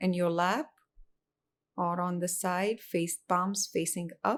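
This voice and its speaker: The pace is very slow, with ordinary pitch variation. Loudness stays very even. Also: woman, medium pitch for a woman. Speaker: meditation guide. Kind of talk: guided meditation.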